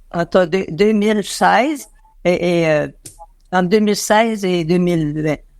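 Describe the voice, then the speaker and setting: At a fairly slow pace with long, frequent pauses, a woman speaks in a medium pitch with ordinary variation over noticeable background noise. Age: 90s. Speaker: interviewee, visually impaired association member. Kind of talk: interview. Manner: halting, many hesitations.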